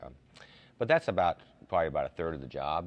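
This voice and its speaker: A man's voice with vocal fry. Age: 60s. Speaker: college basketball coach. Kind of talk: TV interview. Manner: halting, many fillers and repeats.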